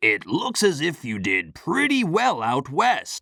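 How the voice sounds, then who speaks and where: In a put-on character voice, a man speaks at a fairly slow pace with a high pitch. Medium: audio drama. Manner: calm, measured.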